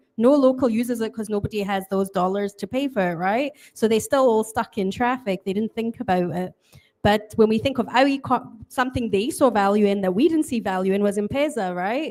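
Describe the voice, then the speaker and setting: With a Scottish accent, a woman talks at a fairly quick pace and a fairly high pitch. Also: ordinary pitch variation. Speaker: panel moderator. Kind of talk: panel discussion.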